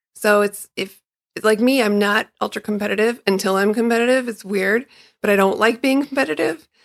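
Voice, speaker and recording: A woman with an ordinary speaking voice talks at a fairly quick pace. Her pitch is fairly high with ordinary variation. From Chicago. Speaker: runner, guest host. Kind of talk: casual chat.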